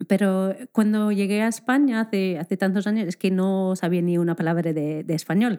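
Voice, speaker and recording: A woman speaks at a moderate pace with hardly any pauses, her pitch medium and its variation ordinary. Her tone is dark and mellow, and the recording is very clean with a silent background. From Scotland. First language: English (speaking Spanish). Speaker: primary school teacher. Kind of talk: casual interview chat.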